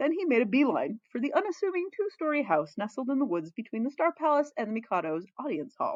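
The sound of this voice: Fast and fairly high-pitched, a woman speaks with big pitch swings and a slightly mellow tone. The sound is dry and close, with no echo.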